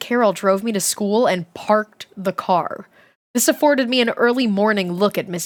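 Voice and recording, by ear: Against a quiet background, someone reads aloud in a natural voice with ordinary pitch variation.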